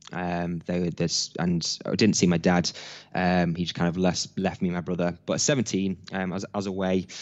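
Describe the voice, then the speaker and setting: Speaking at a fairly quick pace, a man with a very deep, low pitch keeps a monotone, flat intonation. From Nottingham, England (Hucknall). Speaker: entrepreneur and business coach. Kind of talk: interview.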